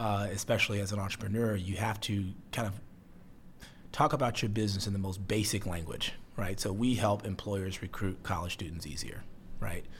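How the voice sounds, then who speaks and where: Somewhat breathy, a man with an American accent talks in a fairly low pitch. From US Midwest, Chicago (south side). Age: 30s. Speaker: startup CEO. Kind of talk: interview.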